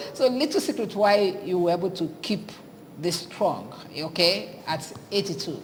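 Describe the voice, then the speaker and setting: With a Nigerian accent, a woman talks at a medium pitch with ordinary pitch variation, amid audible room echo and noticeable background noise. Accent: Nigerian Igbo English. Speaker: TV morning show host. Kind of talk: TV interview.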